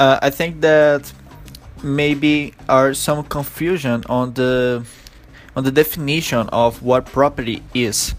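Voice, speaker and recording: A man speaks at a very slow pace with a Brazilian accent, his pitch medium and his intonation fairly even. Music plays in the background. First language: Portuguese. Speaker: podcast host. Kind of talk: interview. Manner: halting.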